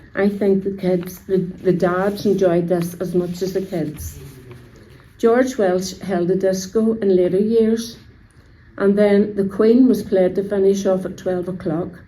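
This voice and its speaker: Speaking fairly slowly with fairly even intonation, a woman with a Belfast accent is heard over audible room echo. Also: medium pitch for a woman. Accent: Belfast Northern Irish. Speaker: local resident sharing memories.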